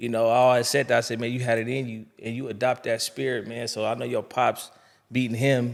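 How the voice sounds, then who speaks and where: The recording is very clean and the background silent. On it, a man talks at a medium pitch. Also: fairly quick pace. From US West Coast (California). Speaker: boxing podcast host. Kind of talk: casual interview chat. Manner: animated.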